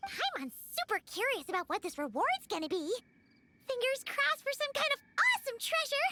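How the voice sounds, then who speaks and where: The speaker uses a put-on character voice at a fairly quick pace. The pitch swings very widely. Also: female-sounding voice, extremely high pitch for a woman. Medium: game stream. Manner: bubbly, excitable.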